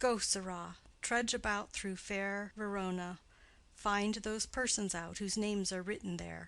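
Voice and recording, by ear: Intonation stays fairly even as a person reads aloud in a natural voice.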